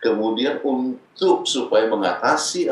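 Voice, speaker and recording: A man talks with an audible echo from the room. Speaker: pastor and marriage counselor; pastor counselor guest. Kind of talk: teaching talk on marriage. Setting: video call from the United States. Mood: calm advisory. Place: home room. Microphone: webcam.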